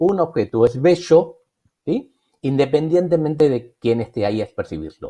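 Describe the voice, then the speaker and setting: A man's fairly high pitch carries a dark, mellow tone. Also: dry, close sound with no echo. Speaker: education researcher. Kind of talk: lecture. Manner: fast.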